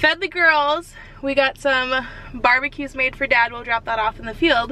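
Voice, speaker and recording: A woman's raised, projected voice at a high pitch, with noticeable background noise. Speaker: farm wife vlogger. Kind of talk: casual vlog narration. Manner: loud; chatty.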